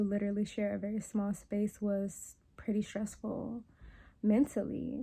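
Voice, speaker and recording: A woman's medium-pitched, somewhat breathy voice with a dark, mellow tone and monotone, flat intonation at a fairly slow pace, on a very clean recording with a silent background. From New Orleans, Louisiana. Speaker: wellness and meditation content creator. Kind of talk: casual talk to camera, personal reflection. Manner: conversational, reflective, candid.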